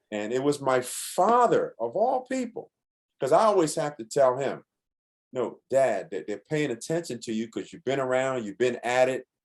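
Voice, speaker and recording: A man's fairly high, ordinary speaking voice with lively intonation at a moderate pace. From New York (Bronx). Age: 60s. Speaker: musician. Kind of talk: interview.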